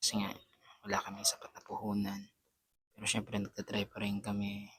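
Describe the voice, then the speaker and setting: Soft-spoken, a man talks at a fairly low pitch. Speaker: vlogger. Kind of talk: casual vlog, unboxing. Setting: at home at night. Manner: soft-spoken, quiet.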